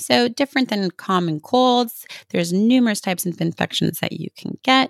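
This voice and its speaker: A woman with a normal speaking voice and a Canadian accent talks at medium pitch and a moderate pace with lively intonation, in a dry, close sound with no echo. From Canada. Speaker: health practitioner and podcast host. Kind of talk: solo educational talk.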